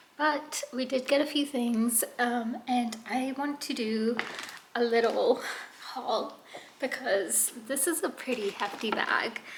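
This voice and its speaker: Against noticeable background noise, a woman speaks at a very slow pace. Her voice is high, with ordinary pitch variation. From UK. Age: 20s. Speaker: vlogger, military spouse. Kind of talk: casual vlog.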